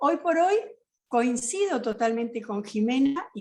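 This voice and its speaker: A fairly slow delivery with very wide swings in pitch. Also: woman. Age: 60s. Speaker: justice of the peace and peace researcher. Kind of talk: panel discussion talk.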